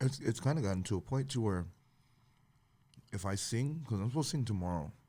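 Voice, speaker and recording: Over a very clean recording with a silent background, a man speaks at a very fast pace, somewhat breathy, with lively intonation. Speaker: podcast host and singer who leads songs. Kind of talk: casual chat. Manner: talking in a lower pitch to spare his voice.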